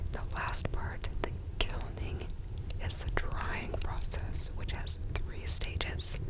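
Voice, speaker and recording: A woman whispers at a very slow pace and very even loudness over noticeable background noise. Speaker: sommelier. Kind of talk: ASMR whisky tasting. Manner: whispered, soft-spoken.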